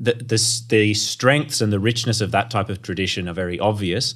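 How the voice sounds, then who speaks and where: On a very clean recording with a silent background, a man with an Australian accent speaks at a moderate pace, at a fairly low pitch and with fairly even intonation. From North Queensland, Australia. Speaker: theology academic. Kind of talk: interview. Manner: halting, frequent repeated words.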